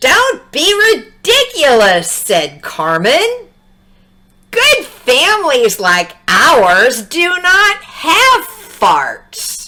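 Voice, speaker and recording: A woman speaks very slowly, her loudness very even throughout. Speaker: English teacher. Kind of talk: children's read-aloud story. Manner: upbeat, friendly.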